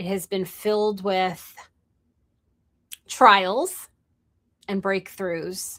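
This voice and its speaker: Speaking at a very slow pace, a woman has a bright, sharp tone, a medium pitch and a monotone, flat intonation. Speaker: entrepreneur and live streamer. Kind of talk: live stream monologue. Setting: live stream.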